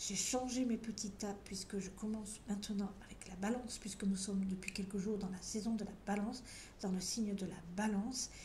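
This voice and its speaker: A woman at a moderate pace and medium pitch, monotone and flat, with audible room echo and noticeable background noise. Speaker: tarot card reader. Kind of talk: tarot reading video. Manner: conversational, some hesitations.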